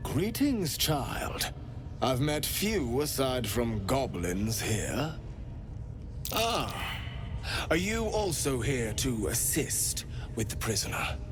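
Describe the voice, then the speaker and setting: Over loud background noise, a put-on character voice goes at a very slow pace with long, frequent pauses. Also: man, medium pitch for a man. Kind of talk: elegant, formal speech. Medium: machinima. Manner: polite, silky, unsettling.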